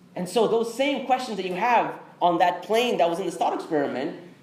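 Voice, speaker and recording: A man talks fairly quickly with lively intonation, with audible room echo and noticeable background noise in the recording. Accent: American. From Texas. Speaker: Islamic speaker. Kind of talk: interactive lecture. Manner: conversational.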